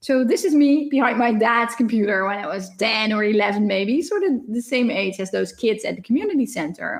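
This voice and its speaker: A woman's fairly high, lively voice in a Dutch accent at a fairly quick pace with hardly any pauses. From Netherlands. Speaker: professor. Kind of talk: lecture. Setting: recorded conference talk without live audience. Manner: fast.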